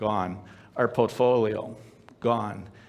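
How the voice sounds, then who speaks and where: A man is talking. His pace is fairly slow. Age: 60s. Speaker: storyteller sharing personal testimony. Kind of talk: testimony. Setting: stage with audience. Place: stage.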